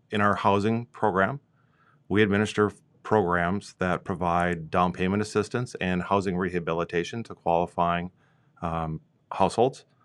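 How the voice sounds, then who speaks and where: A man with an Upper Midwest accent speaks at a very deep, low pitch. His intonation stays fairly even against a quiet background. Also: moderate pace. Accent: Upper Midwest (Minnesota). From Minnesota. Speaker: regional planning director. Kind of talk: interview. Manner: hesitant with fillers.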